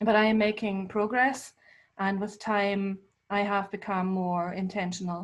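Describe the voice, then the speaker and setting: A woman speaks with a German accent and a somewhat breathy voice. Her intonation stays monotone and flat. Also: quiet background. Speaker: visual artist. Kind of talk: online talk presentation. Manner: hesitant, many fillers.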